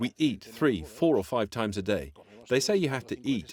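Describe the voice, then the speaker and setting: A man talks at a fairly quick pace in an animated, medium-pitched voice with vocal fry and very wide pitch swings. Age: 60s. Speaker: health coach. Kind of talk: interview.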